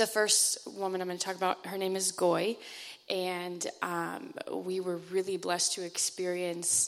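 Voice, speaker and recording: An unremarkable speaking voice moves at a fairly slow pace with fairly even intonation. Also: woman. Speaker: church mission trip member. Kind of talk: church testimony.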